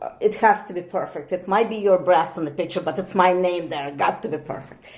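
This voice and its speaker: Music plays in the background as a woman with a medium pitch and ordinary pitch variation talks at a fairly quick pace. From Soviet Union. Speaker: thermography technician and physiognomist. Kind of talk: casual interview chat. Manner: halting, with many fillers.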